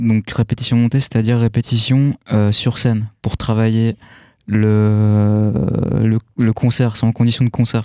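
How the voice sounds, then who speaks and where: A man with a normal speaking voice talks at a fairly slow pace, his pitch medium. The sound is dry and close with no echo, a very clean recording with a silent background. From France. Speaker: rock guitarist. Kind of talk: casual radio interview.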